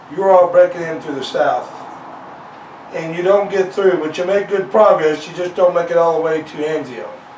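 Over light background noise and audible room echo, a man speaks at a high pitch with fairly even intonation. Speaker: interviewer and biographer. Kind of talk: interview questions. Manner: casual, conversational. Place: home room.

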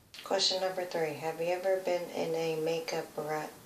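A woman with an American accent speaks at a fairly low pitch and a moderate pace, her intonation monotone and flat. Light background noise and audible room echo are present. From USA. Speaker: beauty vlogger. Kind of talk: casual chat. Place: home room. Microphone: phone near.

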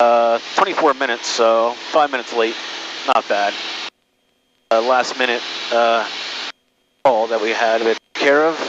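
A man at a fairly slow pace with long, frequent pauses, fairly even intonation, a dry sound with no echo, and noticeable background noise. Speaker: private pilot and aviation video creator. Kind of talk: cockpit vlog narration mixed with clipped air traffic radio calls. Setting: in a small airplane cockpit, on headset radio. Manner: terse radio phraseology, polite 'sir' to controllers; casual, rambling with frequent 'uh' fillers. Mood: relaxed, casual. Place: plane. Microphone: headset.

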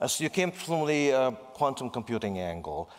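The speaker's pitch swings widely at a fairly quick pace. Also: man, medium pitch for a man.

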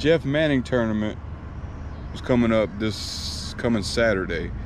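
A man's fairly low voice, dry with no echo, over noticeable background noise. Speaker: fishing vlogger. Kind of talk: casual vlog chat. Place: street. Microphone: phone near.

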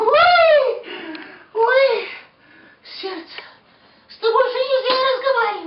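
In a put-on character voice with an extremely high pitch, a man speaks at a moderate pace with long, frequent pauses and a slight echo. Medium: stage. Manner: nagging, melodramatic.

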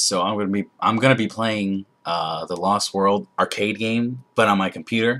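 A man at a moderate pace, fairly low in pitch with a bright, sharp tone. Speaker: gamer. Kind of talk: casual gameplay commentary. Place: home room.

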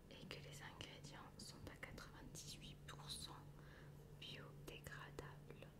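Whispering in a relaxed tone, a woman speaks at a very slow pace. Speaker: ASMR creator. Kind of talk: casual talk to camera. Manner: soft-spoken, relaxed. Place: home room.

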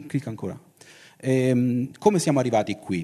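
Against a quiet background, a man speaks at a moderate pace and medium pitch, with a dark, mellow tone and ordinary pitch variation. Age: 50s. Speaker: science fiction writer and publisher; guest. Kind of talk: talk at a festival. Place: hall. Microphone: handheld.

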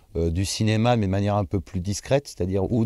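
A man's very fast speech, fairly low in pitch with ordinary pitch variation and a dark, mellow tone, dry with no echo, against a quiet background. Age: 30s. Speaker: actor and dubbing artist; actor. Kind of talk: interview. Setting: bar-restaurant. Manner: hesitant, frequent fillers and repetitions. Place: hall. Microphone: lapel.

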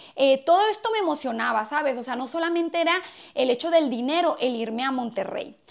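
Against a quiet background, a woman with a high pitch speaks in an animated tone with lively intonation. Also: fairly quick pace. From Mexico, Hermosillo, Sonora; Sonora, Mexico. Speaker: comedy YouTuber. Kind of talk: casual vlog monologue. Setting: at home, in bedroom. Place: home room. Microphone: lapel.

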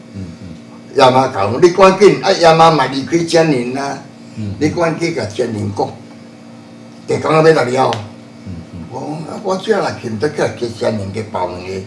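A man's medium-pitched voice at a moderate pace, with very wide pitch swings, big swings in loudness, long, frequent pauses, audible room echo and light background noise. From Taiwan, Chiayi area (Shuishang); Taiwan. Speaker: religious elder; interviewee. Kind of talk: interview. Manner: halting. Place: hall.

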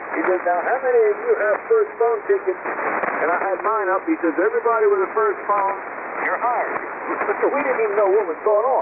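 Over noticeable background noise, a man with an American accent talks at a fairly quick pace in a high voice with ordinary pitch variation. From US Mid-Atlantic (Maryland). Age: 80s+. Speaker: amateur radio operator. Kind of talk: casual chat. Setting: amateur radio transmission. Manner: chatty storyteller.

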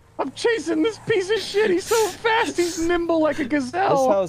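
A put-on character voice at an extremely high pitch, delivered at a moderate pace. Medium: game stream. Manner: loud, crude.

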